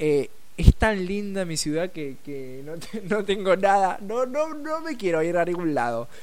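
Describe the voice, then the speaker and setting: A man with an Argentine accent speaks in an animated tone at a fairly slow pace. His pitch swings very widely, and the room echo is audible. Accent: Rioplatense Argentine Spanish. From Rosario, Argentina. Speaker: radio host. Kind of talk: casual radio chat.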